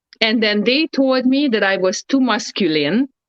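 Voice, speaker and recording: A woman speaks in an ordinary speaking voice with lively intonation. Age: 30s. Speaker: ex professional wrestler. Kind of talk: casual chat.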